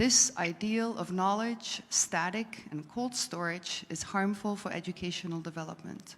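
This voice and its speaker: A woman with a Dutch accent talks at a medium pitch with hardly any pauses. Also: ordinary pitch variation, moderate pace. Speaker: audience member. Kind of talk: reading aloud.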